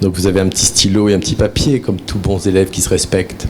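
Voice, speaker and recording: The speaker has a northern French accent. Noticeable background noise runs behind the voice. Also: man. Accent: Ch'ti (northern French). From northern France, near Valenciennes. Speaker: therapist and trainer, conference speaker. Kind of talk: conference talk. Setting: conference with live audience. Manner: conversational, with many fillers.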